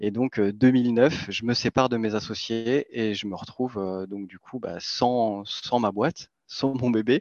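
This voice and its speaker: Over a quiet background, a man speaks in a plain, everyday voice at medium pitch with fairly even intonation. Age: 30s. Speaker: crypto newsletter co-founder. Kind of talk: interview.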